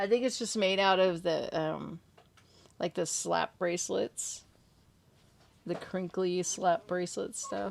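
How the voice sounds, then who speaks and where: The speaker here is a woman. Her accent is American. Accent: California accent, noticed by others. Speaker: horror story narrator and livestream host. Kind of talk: casual chat.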